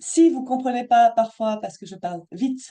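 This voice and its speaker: A woman with a slight Belgian accent speaks in a dark, mellow tone with ordinary pitch variation. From Belgium. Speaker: money mindset coach. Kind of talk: live Zoom workshop talk. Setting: video call. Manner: not always clearly articulated.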